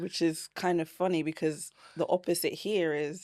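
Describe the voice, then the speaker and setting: A woman with a British accent speaks in a fairly low pitch, her tone dark and mellow. Her intonation is fairly even, and the recording is very clean over a silent background. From Britain. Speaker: podcast guest. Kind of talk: interview answer.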